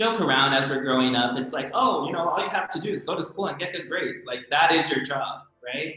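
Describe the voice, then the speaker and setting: A man with a Californian accent speaks at a fairly quick pace. His pitch is fairly high. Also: lively intonation. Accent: American, Californian. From San Francisco Bay Area, US (immigrant from Brazil). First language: Portuguese. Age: 20s. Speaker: professional ice skater. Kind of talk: casual interview.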